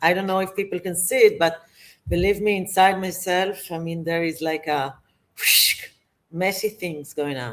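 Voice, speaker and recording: The speaker has an Israeli accent. The pace is moderate. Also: woman, medium pitch for a woman, fairly even intonation. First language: Hebrew. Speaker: managerial therapist, guest. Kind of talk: interview conversation.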